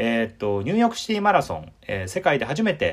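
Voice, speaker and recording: One man talks at a fairly quick pace. His pitch swings very widely. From Osaka, Japan. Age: 30s. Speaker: podcast host. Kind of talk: casual chat.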